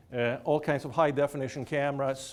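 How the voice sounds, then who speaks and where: A man with a Swedish accent speaks at a fairly quick pace, his intonation fairly even. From Sweden. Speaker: professor. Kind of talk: lecture. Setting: lecture hall with audience.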